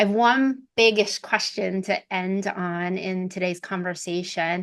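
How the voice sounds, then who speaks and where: A woman's ordinary speaking voice at a medium pitch and fairly slow pace, with fairly even intonation and a quiet background. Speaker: podcast host, talent executive. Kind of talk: interview conversation.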